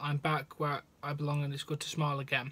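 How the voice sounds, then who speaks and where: Somewhat breathy and quick-ish, the delivery moves at a fairly quick pace with a monotone, flat intonation. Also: man. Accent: British. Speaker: wrestling news host. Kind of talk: news reading; emotional personal testimony, read aloud in first person. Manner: sombre, heavy, confessional delivery. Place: home room. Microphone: phone near.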